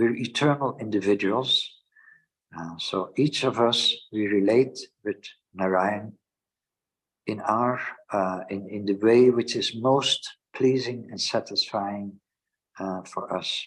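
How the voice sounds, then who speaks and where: A man speaks with a Dutch accent at a medium pitch and ordinary pitch variation, talking very slowly with long, frequent pauses. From Netherlands. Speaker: Hare Krishna teacher. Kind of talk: scripture lecture. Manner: hesitant with fillers.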